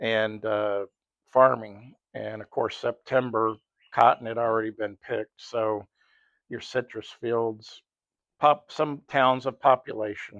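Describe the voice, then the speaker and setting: A man with an American accent speaks at a fairly slow pace, his loudness swinging widely. His intonation stays flat and monotone, with a dry, close sound, no echo, and a quiet background. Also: medium pitch for a man. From South Texas, Rio Grande Valley. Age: 60s. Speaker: retired police officer, storyteller. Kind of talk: nostalgic storytelling monologue. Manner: casual, with fillers and restarts.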